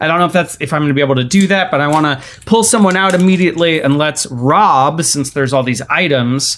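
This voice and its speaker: A man with an unremarkable speaking voice, fairly high pitch and ordinary pitch variation. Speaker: player in role-playing game. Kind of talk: casual tabletop RPG chat.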